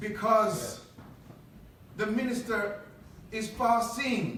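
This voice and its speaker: Over noticeable background noise and audible room echo, a high-pitched man speaks very slowly in a monotone, flat intonation. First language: not English; English is third language. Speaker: politician and mosque member speaker. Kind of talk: speech to congregation. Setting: mosque podium with audience. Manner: halting, with repeated fillers.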